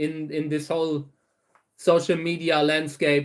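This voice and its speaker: In a German accent, a man with a fairly high pitch speaks at a fairly slow pace with monotone, flat intonation. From Saarland, Germany. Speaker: cactus breeder. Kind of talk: livestream Q&A chat. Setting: livestream. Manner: halting, many fillers and repeats.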